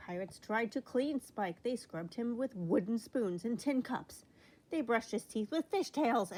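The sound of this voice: Someone reads in an unforced voice. Intonation moves in a lively way.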